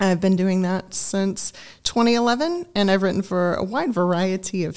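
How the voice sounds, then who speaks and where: On a very clean recording with a silent background, a woman with a normal speaking voice and an American accent talks at a moderate pace and medium pitch, with ordinary pitch variation. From Augusta, Georgia, US South. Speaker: communications professional. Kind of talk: radio interview.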